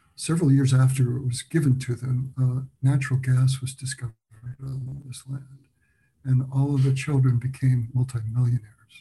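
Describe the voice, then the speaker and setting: A man speaks at a moderate pace and medium pitch in a flat monotone, his tone dark, mellow and somewhat breathy. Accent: American. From United States. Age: 70s. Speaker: documentary filmmaker. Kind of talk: interview.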